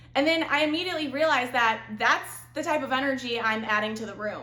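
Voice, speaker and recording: Loud and bubbly, a woman speaks in an animated tone with ordinary pitch variation against noticeable background noise. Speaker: lifestyle vlogger. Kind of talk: casual advice monologue. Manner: bubbly, animated.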